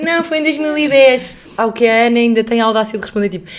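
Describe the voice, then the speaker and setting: Noticeable background noise surrounds the voice. A woman speaks with lively intonation. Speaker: podcast co-host. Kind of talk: reading aloud; casual chat. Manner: halting.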